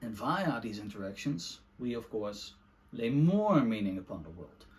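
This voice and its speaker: Here a man talks with a Dutch accent. His pitch is medium. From Netherlands. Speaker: book reviewer / video essayist. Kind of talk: casual monologue book review. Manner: halting, many fillers.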